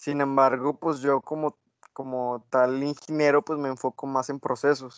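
The sound is dry and close, with no echo. A man speaks at a fairly slow pace, fairly high-pitched, with monotone, flat intonation. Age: 20s. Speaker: engineering student. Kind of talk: casual chat.

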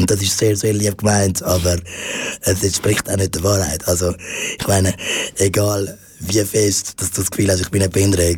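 With long, frequent pauses, a man speaks at a moderate pace in a very deep, low pitch and a monotone, flat intonation, over noticeable background noise. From Switzerland, Zurich. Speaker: stand-up comedian. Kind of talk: radio interview. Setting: studio. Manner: halting.

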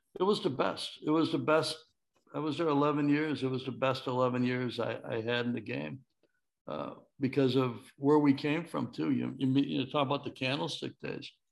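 A man speaks at a moderate pace, his medium pitch moving with ordinary variation. His is an ordinary speaking voice. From Chicago, Illinois. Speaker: former baseball executive and author. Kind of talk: interview.

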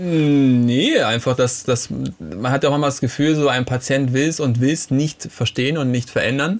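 A man with a normal speaking voice at medium pitch, moderate in pace, with ordinary pitch variation and hardly any pauses. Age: 30s. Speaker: physiotherapist and naturopath. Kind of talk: casual chat.

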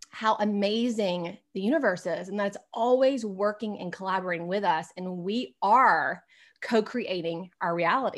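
In an American accent, a woman talks in an ordinary speaking voice at medium pitch with ordinary pitch variation, on a very clean recording with a silent background. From US South. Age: 40s. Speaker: spiritual coach and energy healer. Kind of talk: interview conversation.

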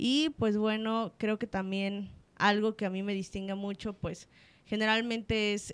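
The speaker is a woman with fairly even intonation. She talks at a fairly slow pace. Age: 20s. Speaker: psychologist. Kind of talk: interview. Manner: halting.

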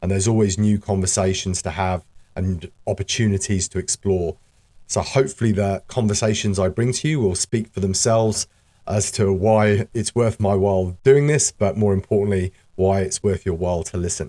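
A man speaks with a dark, mellow tone and fairly even intonation. The sound is dry and close, with no echo. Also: fairly low pitch for a man, moderate pace, very clean recording, silent background. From UK. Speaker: podcast host and community association chairperson. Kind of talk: scripted-style podcast introduction, solo monologue. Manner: conversational, with fillers and hesitations.

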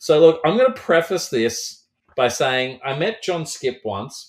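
The recording is very clean with a silent background, carrying a man speaking with an Australian accent. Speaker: horror author. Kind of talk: casual interview chat.

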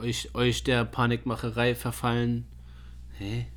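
A man speaks at a very slow pace. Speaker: fitness podcast co-host. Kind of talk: casual chat. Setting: studio.

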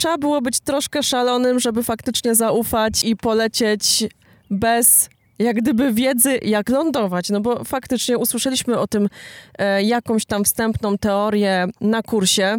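A woman with a plain, everyday voice speaks at a fairly slow pace and fairly high pitch, with fairly even intonation and very even loudness. The recording is very clean, dry and close, with no echo and a silent background. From Poland, Silesia (Jastrzębie-Zdrój). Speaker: paramotor pilot and marketing agency owner. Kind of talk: podcast interview, storytelling.

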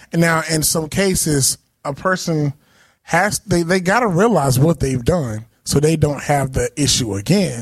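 With an unremarkable speaking voice, a man talks fairly slowly, his fairly high pitch carrying lively intonation. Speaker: podcast co-host, musician. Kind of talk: casual chat.

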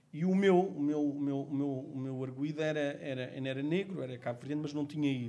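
A man speaks with a fairly high pitch at a moderate pace. Audible room echo surrounds his voice. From Portugal, Amadora (Lisbon area). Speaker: lawyer. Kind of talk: podcast discussion. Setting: community sports court. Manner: halting, repeats words.

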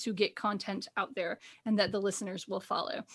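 Very clean recording with a silent background. A woman with an ordinary speaking voice talks at a moderate pace, her pitch fairly high. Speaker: podcast co-host. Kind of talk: casual chat.

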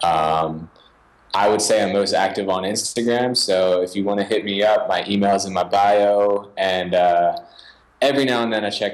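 Speaking at a moderate pace, a man with an American accent has a normal speaking voice, fairly low pitch, and fairly even intonation. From Philadelphia suburbs, Pennsylvania. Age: 20s. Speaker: music producer and finger drummer. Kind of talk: interview.

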